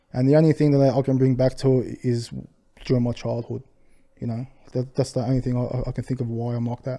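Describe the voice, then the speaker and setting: A man mumbles at a very fast pace in an Australian accent. His medium-pitched voice has a dark, mellow tone and monotone, flat intonation. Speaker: restaurant owner. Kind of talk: podcast interview. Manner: mumbling.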